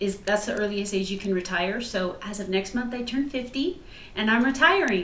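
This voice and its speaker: A woman with an American accent at a moderate pace, medium in pitch with lively intonation, in audible room echo. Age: 40s. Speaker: home cook and retiring police officer. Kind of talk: cooking video. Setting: home kitchen. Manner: chatty.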